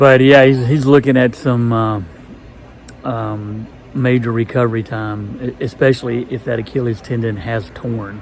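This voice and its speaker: A man speaks at a moderate pace with a medium pitch and fairly even intonation. Noticeable background noise sits behind him. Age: 60s. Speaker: long-distance hiker vlogger. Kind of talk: casual video diary. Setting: indoors at a hostel. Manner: halting, many fillers.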